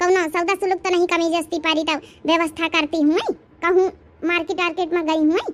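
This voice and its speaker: Putting on a cartoonish character voice, a woman speaks at an extremely high pitch and a fairly quick pace, her intonation monotone and flat and her loudness very even. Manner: gossipy, insistent.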